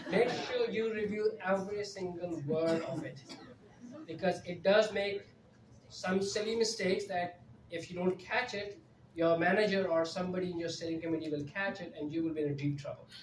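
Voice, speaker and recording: The talking moves at a moderate pace. Background noise is noticeable. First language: not English. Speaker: conference speaker on AI in project management. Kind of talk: live presentation with audience Q&A.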